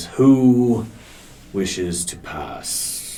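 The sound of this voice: Using a rumbling, put-on character voice at a medium pitch, a man speaks over clear background noise.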